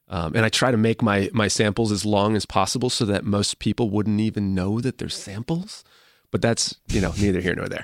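In an ordinary speaking voice, a man with an American accent talks at a fairly quick pace, fairly low in pitch with ordinary pitch variation, in a dry, close sound with no echo. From Massachusetts, US. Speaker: indie rock musician. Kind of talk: casual interview chat.

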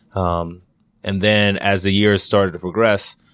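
Intonation stays monotone and flat as the speaker talks with an American accent. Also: man. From Long Island, New York. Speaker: college wrestling coach. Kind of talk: interview. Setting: office.

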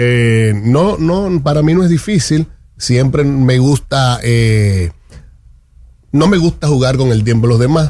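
At a very slow pace, a man with a dark, mellow tone speaks at medium pitch with lively intonation and very even loudness. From Santo Domingo, Dominican Republic. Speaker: politician, parliamentary candidate. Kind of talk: radio interview. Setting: radio studio.

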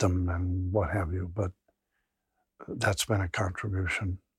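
A man's very deep, low voice, somewhat breathy and monotone, at a fairly slow pace, with a dry, close sound, no echo and a very clean recording over a silent background. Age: 70s. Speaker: addiction researcher and clinician. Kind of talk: interview.

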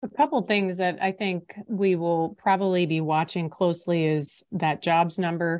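With a normal speaking voice, a woman talks at a moderate pace and a fairly low pitch, using ordinary pitch variation and hardly any pauses. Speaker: podcast host. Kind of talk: scripted news-style podcast intro and chat.

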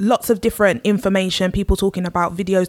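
A woman speaks very fast at a medium pitch with fairly even intonation, in a dry, close recording that is very clean with a silent background and no echo. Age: 30s. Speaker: podcast guest. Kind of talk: casual chat.

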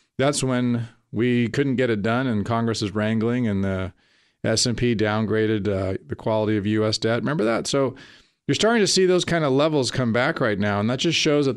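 This man has a plain, everyday voice at a medium pitch. He talks at a fairly quick pace with ordinary pitch variation. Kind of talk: radio host patter. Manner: upbeat, salesy, polished radio-announcer cheer with a folksy, chatty pace.

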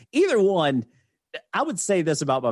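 Fairly quick male speech in a Southern US accent. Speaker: podcast host. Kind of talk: casual drunk banter podcast.

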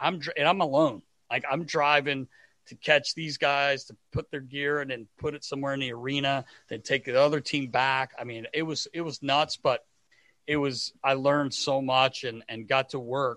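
A man's fairly high-pitched voice with a bright, sharp tone, fairly even intonation, big swings in loudness and a moderate pace, dry and close with no echo in a very clean recording over a silent background. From North Carolina. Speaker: former hockey equipment manager. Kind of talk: interview.

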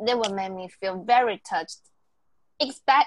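A woman with a Taiwanese accent and lively intonation, against a quiet background. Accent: Taiwanese Mandarin accent in English. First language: Mandarin Chinese. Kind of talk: casual bilingual chat. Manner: halting, many fillers.

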